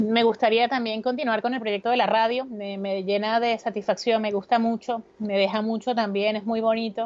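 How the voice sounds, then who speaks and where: Hardly any pauses break up the speech. Its pace is moderate. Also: woman, fairly high pitch for a woman. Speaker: radio host and business centre director. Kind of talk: interview. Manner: lively, informal.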